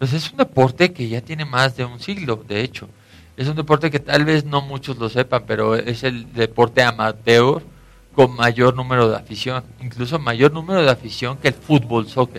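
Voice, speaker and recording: Here a man talks in a normal speaking voice at a moderate pace. His pitch is medium, with ordinary variation. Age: 30s. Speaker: American football player. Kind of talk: radio interview.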